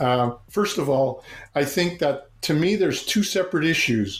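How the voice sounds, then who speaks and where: Audible room echo surrounds a man who speaks fairly slowly at a fairly high pitch with lively intonation. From Montreal, Quebec. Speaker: meditation and leadership coach, former monk. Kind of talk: casual interview.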